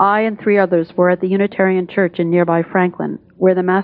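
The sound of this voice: With fairly even intonation, the text comes in an unforced reading voice.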